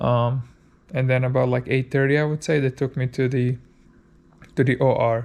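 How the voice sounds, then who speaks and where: A man with a medium-pitched voice speaks in a flat monotone, leaving long, frequent pauses. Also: moderate pace. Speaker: amateur cyclist vlogger. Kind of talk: vlog recounting surgery. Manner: casual with many fillers.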